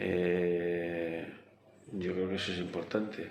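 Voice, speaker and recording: A man's very deep, low voice, monotone and flat, with audible room echo. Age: 70s. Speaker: interviewee sharing life story. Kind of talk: interview. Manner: halting.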